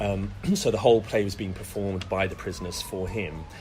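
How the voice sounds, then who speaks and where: Music in the background behind a man's fairly low voice, with ordinary pitch variation and audible room echo. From West Midlands, England (Solihull, near Birmingham). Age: 40s. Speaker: actor. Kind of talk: casual interview chat. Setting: podcast interview.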